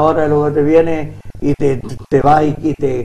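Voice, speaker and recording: Pitched fairly high, a man talks with monotone, flat intonation. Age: 70s. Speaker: retired PE teacher and handball coach. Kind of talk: TV interview. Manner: halting.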